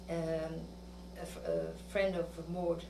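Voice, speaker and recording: There's a fair amount of noise in the background. Over it, a woman talks. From France. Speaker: wartime resistance helper. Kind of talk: interview testimony. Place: home room.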